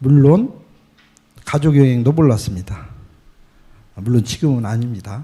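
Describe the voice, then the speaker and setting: At a fairly slow pace, a man with medium pitch and a dark, mellow, somewhat breathy tone speaks with lively intonation. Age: 60s. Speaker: church member giving testimony. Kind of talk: testimony. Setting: church. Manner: reading from a prepared script.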